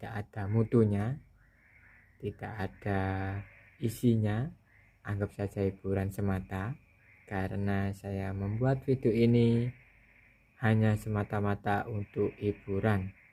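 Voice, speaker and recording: Dark and mellow in tone, this voice moves very slowly with long, frequent pauses and fairly even intonation, on a very clean recording with a silent background. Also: man, fairly low pitch for a man. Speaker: tech video creator. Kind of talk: casual tutorial talk. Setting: home near rice fields. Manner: hesitant with fillers.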